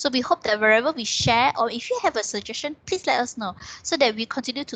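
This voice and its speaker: This woman's voice sits fairly high, with ordinary pitch variation and a fairly quick pace. The recording is dry and close, without any echo. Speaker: university counselor. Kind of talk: online talk. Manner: fast.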